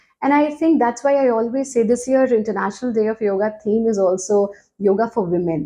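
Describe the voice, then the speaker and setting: Speaking in an Indian accent, a woman has a fairly high pitch, a dark, mellow tone and lively intonation. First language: Hindi. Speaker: yoga teacher. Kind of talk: interview.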